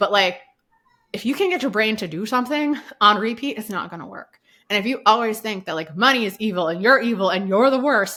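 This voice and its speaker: A woman with an American accent talks at a fairly quick pace in a fairly high pitch, her animated, bright, sharp tone carrying lively intonation and big swings in loudness. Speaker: online business podcaster, guest expert. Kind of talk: podcast interview, casual chat. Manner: fast.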